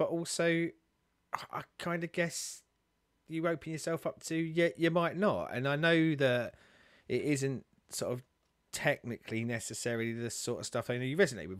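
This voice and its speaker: In a dry sound with no echo and a quiet background, a man talks at a moderate pace with lively intonation. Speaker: co-host. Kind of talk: casual conversational commentary. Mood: warm, reflective, light laughs. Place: home room. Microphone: studio mic.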